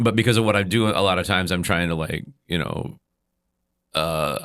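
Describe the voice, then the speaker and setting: A man with an American accent and a bright, sharp tone speaks at a moderate pace with fairly even intonation on a very clean recording with a silent background. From central Wisconsin. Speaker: musician. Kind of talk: casual chat. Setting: studio.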